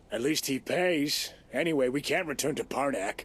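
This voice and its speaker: Putting on a raspy character voice, a man speaks fairly high at a moderate pace. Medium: video game. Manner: calm, resigned.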